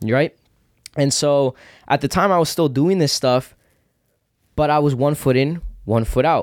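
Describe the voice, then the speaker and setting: A man speaks with very even loudness and ordinary pitch variation, leaving long, frequent pauses. The sound is dry and close, with no echo. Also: moderate pace. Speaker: podcast host. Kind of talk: casual chat.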